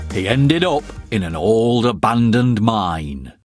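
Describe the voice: Over faint background music, a man with a fairly low pitch speaks slowly, making big pitch swings.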